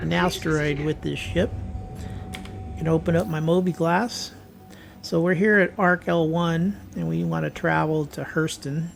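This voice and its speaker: Music plays in the background while a man speaks fairly slowly. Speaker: gaming youtuber. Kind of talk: gameplay commentary. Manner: casual, conversational.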